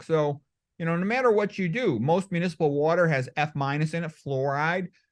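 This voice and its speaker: Against a quiet background, a man with an American accent talks at a fairly quick pace. His pitch is high, with ordinary variation. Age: 60s. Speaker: medical doctor. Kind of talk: interview.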